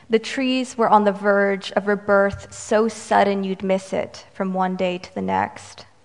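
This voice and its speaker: A woman's medium-pitched voice in a monotone, flat intonation, at a fairly slow pace with hardly any pauses, over noticeable background noise. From Romanian-American, US. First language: Romanian. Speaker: poet. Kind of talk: poetry reading, performed poem. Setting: stage with audience, live reading. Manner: light and humorous in banter.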